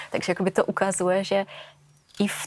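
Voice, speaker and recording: In a Russian accent, a woman speaks at a moderate pace. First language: Russian (speaking Czech). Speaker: AI specialist. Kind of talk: interview.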